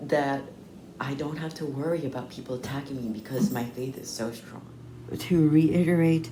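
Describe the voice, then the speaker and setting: A woman's very deep, low voice at a fairly slow pace, with audible room echo. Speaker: mental health vlogger. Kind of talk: personal vlog monologue. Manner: halting.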